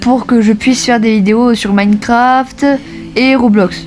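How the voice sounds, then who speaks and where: A woman's fairly high voice with fairly even intonation over music in the background. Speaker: gaming YouTuber. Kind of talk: vlog update to viewers. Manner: halting, many fillers.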